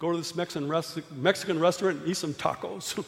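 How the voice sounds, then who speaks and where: The man's pitch is high, with ordinary variation. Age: 60s. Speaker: preacher and youth canvassing program leader. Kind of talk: sermon. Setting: church.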